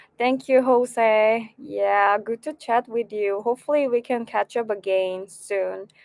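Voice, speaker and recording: A woman with a Korean accent speaks at a fairly slow pace with hardly any pauses, in a dry, close sound without echo. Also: fairly high pitch for a woman. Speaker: violin teacher and graduate student. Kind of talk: casual livestream chat. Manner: halting.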